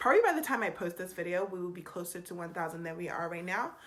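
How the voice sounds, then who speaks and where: A woman talks at a very fast pace and medium pitch. Noticeable background noise is present. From England, Nigerian heritage. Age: 30s. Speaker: YouTuber. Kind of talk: casual Q&A vlog.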